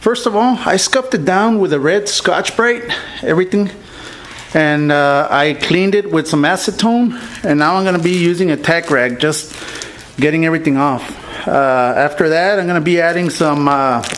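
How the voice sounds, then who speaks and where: Background noise can be clearly heard. The talking proceeds at a moderate speed. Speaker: car painting hobbyist / video creator. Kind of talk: tutorial. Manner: casual, many filler words.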